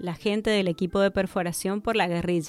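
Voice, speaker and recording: A woman with an ordinary speaking voice, fairly even intonation, fairly quick pace. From Argentina, Mendoza. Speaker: energy industry worker. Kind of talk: radio interview.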